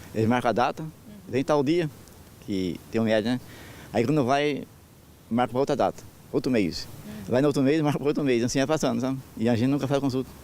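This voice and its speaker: Speaking at a fairly quick pace with long, frequent pauses, a man uses a medium pitch, ordinary pitch variation and very even loudness. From Brazil, rural Caçapava, São Paulo interior. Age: 60s. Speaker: interviewed rural resident. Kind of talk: news interview. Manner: halting, repeats words.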